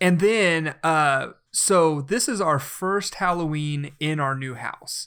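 A man with a slight Southern US accent speaks at a very slow pace in a fairly high pitch, with ordinary pitch variation and a bright, sharp tone. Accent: slight Southern twang. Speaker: podcast co-host. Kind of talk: casual chat.

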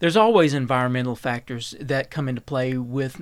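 A fairly quick voice in an Appalachian accent, with ordinary pitch variation and a very clean recording over a silent background. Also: man. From Eastern Kentucky. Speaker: health researcher. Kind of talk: radio interview. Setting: studio.

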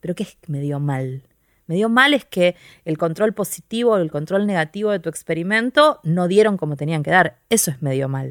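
On a very clean recording with a silent background, a woman with a Rioplatense accent speaks at a fairly low pitch and moderate pace with lively intonation. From Argentina, Quilmes (Buenos Aires). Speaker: scientist and stand-up comedian. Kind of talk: interview conversation.

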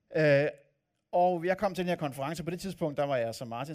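An unremarkable speaking voice at a fairly quick pace in a very clean recording with a silent background. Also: man. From Copenhagen area, Denmark. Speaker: pastor. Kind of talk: sermon. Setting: church.

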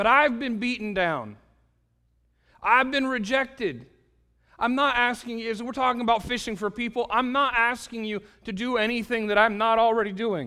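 In a raised, projected voice, a man with an extremely high pitch talks at a moderate pace with fairly even intonation. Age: 40s. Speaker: pastor. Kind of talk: sermon. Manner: halting.

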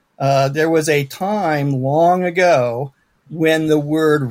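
A man speaks at a very slow pace. His pitch is fairly high, with ordinary pitch variation. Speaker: science fiction author. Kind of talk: panel discussion.

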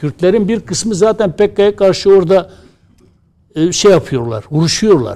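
A man's high-pitched voice with a dark, mellow tone, lively intonation and a fairly slow pace. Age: 60s. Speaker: association president and newspaper columnist. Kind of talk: TV political panel discussion.

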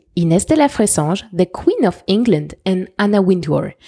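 Speaking in a French accent, a woman uses a dark, mellow tone at medium pitch with lively intonation. Her pace is moderate, and the sound is dry and close with no echo. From France. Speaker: fashion podcaster. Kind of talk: scripted podcast monologue.

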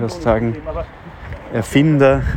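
A man speaks with ordinary pitch variation. Noticeable background noise runs throughout. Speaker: podcaster. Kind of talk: casual monologue. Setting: outdoors, walking on street. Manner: hesitant, with fillers.

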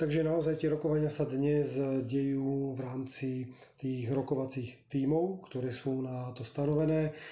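Audible room echo surrounds a man's somewhat breathy, dark, mellow voice at medium pitch, which moves at a fairly slow pace with a monotone, flat intonation. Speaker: politician. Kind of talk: political interview.

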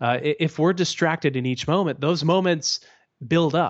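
An unremarkable speaking voice from a man with a Canadian accent, at a moderate pace with ordinary pitch variation. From Canada. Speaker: author. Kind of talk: casual interview chat.

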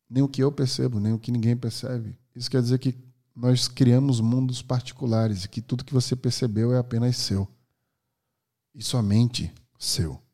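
A man's medium-pitched voice with a dark, mellow tone at a moderate pace. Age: 30s. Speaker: podcast host. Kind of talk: monologue.

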